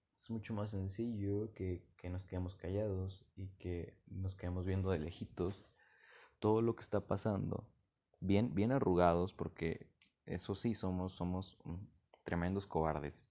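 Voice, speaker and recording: A man's very deep, low voice with a dark, mellow tone and a Mexican accent, at a fairly slow pace with fairly even intonation, over a quiet background. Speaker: podcaster. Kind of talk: casual monologue. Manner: halting.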